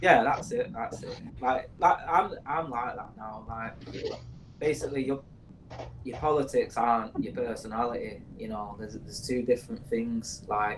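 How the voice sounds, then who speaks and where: A Mancunian-accented man at medium pitch, with ordinary pitch variation, big swings in loudness and a moderate pace. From northern England, Manchester. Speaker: podcast co-host. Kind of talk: casual chat. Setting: studio.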